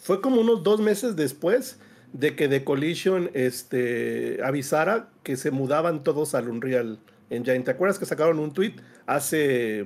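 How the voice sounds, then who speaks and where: With a Mexican accent, a man speaks at a fairly slow pace and a fairly high pitch. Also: lively intonation. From Mexico. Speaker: gaming panelist; panelist. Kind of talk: casual debate panel. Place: home room.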